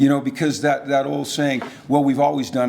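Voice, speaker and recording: A man's fairly high voice at a moderate pace over noticeable background noise. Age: 60s. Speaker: football coach. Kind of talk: Q&A after keynote speech.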